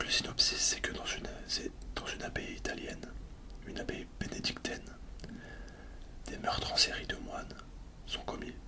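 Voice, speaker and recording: Whispering at a moderate pace, a man leaves long, frequent pauses amid noticeable background noise. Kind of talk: ASMR soft-spoken film talk. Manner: soft-spoken.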